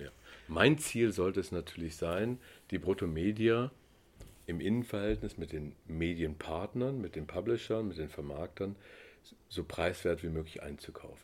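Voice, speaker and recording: In a very clean recording with a silent background, a man with a very deep, low pitch speaks at a moderate pace with lively intonation and long, frequent pauses. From East Germany. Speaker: media trading entrepreneur. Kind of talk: interview.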